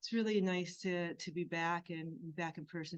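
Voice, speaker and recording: A soft-spoken woman talks at a moderate pace. Her voice is fairly low in pitch. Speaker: health physicist. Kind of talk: conference presentation. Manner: halting.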